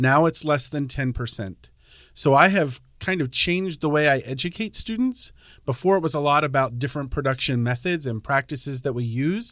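A man with an American accent has an ordinary speaking voice, fairly high in pitch, with lively intonation. The recording is very clean, with a silent background. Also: moderate pace. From Pennsylvania. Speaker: high school agriculture teacher. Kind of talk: casual interview.

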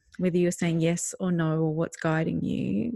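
The voice, with an Australian accent, has a dry, close sound with no echo against a quiet background. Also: woman. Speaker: parenting podcast co-host. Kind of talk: casual chat.

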